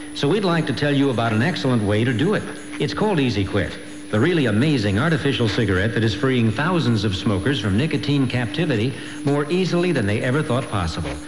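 A man speaks at a very fast pace while noticeable background noise runs underneath. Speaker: commercial announcer. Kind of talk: radio commercial read. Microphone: old recording.

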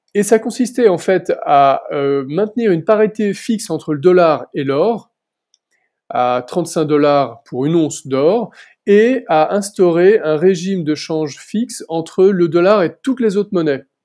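A man speaks at a fairly slow pace in a high pitch, his dark, mellow tone carrying lively intonation over a quiet background. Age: 40s. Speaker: senior civil servant and bitcoin researcher; interview guest. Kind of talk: interview; interview answer. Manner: hesitant with fillers. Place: home room. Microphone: earbuds.

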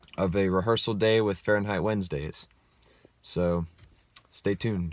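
A man speaks in a fairly low pitch with fairly even intonation. The sound is dry with no echo. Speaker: musician vlogger. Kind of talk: casual vlog chat. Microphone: phone near.

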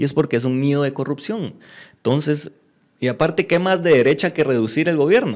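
Against a quiet background, a man with a fairly high pitch speaks at a fairly quick pace with ordinary pitch variation. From Guatemala. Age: 20s. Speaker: mayoral candidate; candidate. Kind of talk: interview. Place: studio. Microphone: studio mic.

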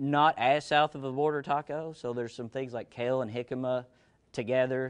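Against a quiet background, a man talks at a fairly quick pace in a monotone, flat way. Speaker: guest. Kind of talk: cooking demonstration talk. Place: kitchen. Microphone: lapel.

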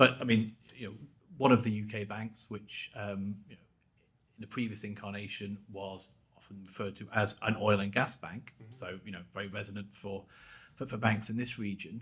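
A man speaks with monotone, flat intonation. His loudness swings a lot. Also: fairly low pitch for a man, moderate pace. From Scotland. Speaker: bank institute chief executive; podcast guest. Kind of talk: interview. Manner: repeats words when starting. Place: studio. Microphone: studio mic.

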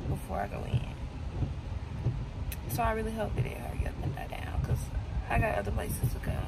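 Loud background noise sits behind a woman's voice. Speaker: vlogger. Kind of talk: casual vlog chat. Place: car. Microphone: phone near.

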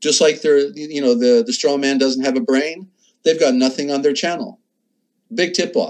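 Lively in intonation, a man talks at a fairly high pitch. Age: 60s. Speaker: internet radio host on ancient history. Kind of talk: live call-in show monologue. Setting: home studio, live stream. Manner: halting with many fillers.

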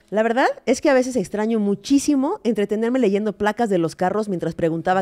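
With a Mexican accent, a woman talks at a fairly quick pace in a fairly high pitch with a dark, mellow tone. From Mexico. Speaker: comedy podcast co-host. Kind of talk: casual comedic chat; comedic podcast monologue and chat. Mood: playful, humorous. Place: studio. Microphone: studio mic.

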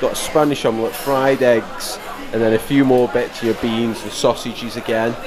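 Noticeable background noise is present throughout. Over it, a man talks. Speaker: travel vlogger. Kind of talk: casual walkthrough commentary. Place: cafe. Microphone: phone near.

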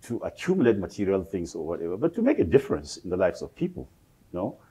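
A man speaks in a dark, mellow tone with very wide pitch swings. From Africa, rural. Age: old. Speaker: sociology professor. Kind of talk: lecture. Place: hall.

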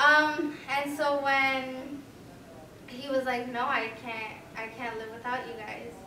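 A woman with an American accent speaks very slowly in a high, raised, projected voice with fairly even intonation and big swings in loudness. Audible room echo and light background noise sit behind her. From Cicero, Chicago area, US Midwest; Illinois. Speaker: student. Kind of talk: panel discussion. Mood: personal, reflective family story. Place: classroom.

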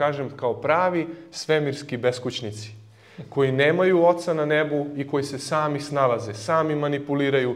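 The man keeps his intonation fairly even while speaking at a moderate pace. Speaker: lecturer. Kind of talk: lecture. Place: hall. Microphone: studio mic.

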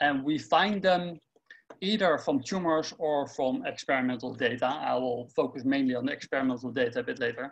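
The pace is fairly quick and the pitch variation ordinary. A man talks over light background noise. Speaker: researcher presenting tutorial. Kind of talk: lecture. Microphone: webcam.

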